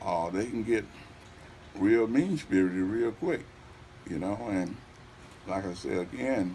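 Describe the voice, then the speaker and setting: At a very slow pace, a man talks with lively intonation and a fairly low pitch. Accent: Southern US. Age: 70s. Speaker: mayoral candidate. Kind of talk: interview.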